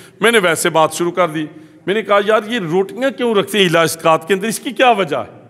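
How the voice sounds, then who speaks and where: A man with a high voice talks at a moderate pace with ordinary pitch variation. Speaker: Islamic preacher. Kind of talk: sermon.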